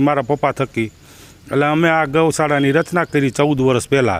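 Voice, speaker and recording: A man's fairly high-pitched, fairly evenly intoned speech in a plain, everyday voice. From Gujarat, Gondal area (Saurashtra). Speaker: former village head and cow shelter founder. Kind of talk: interview.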